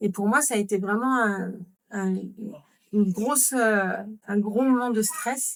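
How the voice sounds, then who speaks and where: This woman's medium-pitched voice keeps a fairly even intonation. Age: 40s. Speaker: mother living with chronic illness, podcast guest. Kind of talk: podcast interview.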